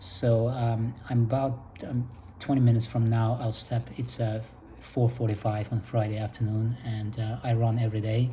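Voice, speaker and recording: A dark, mellow voice, somewhat breathy, speaks at a moderate pace with monotone, flat intonation. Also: man. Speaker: vlogger. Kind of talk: casual monologue. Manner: halting, many fillers.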